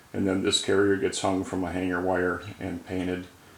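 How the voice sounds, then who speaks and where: The speaker is a man with a fairly low pitch. Audible room echo surrounds his voice. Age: 60s. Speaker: outboard lower unit builder. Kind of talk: product walkthrough video. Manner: casual, with fillers.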